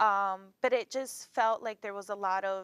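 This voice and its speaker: A very clean recording carries a silent background. The voice has a non-native accent. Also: woman. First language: not English. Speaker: college admissions counselor. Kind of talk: talk show interview. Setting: television studio. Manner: halting.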